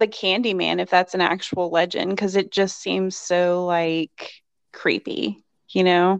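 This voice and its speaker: A woman speaks at a fairly slow pace with a medium pitch and fairly even intonation, in an American accent. It's a plain, everyday voice against a quiet background. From rural Virginia, US. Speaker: podcast co-host. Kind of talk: casual chat.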